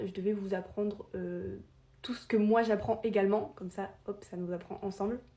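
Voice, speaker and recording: Somewhat breathy, a woman speaks at medium pitch in a dark, mellow tone with monotone, flat intonation. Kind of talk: informal explainer video. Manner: fast; hesitant, many filler sounds.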